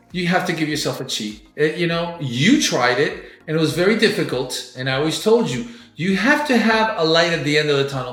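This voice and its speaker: Over noticeable background noise and audible room echo, a man with a fairly high pitch speaks at a fairly quick pace with lively intonation. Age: 60s. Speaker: bodybuilder and podcast co-host. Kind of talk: casual chat. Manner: halting.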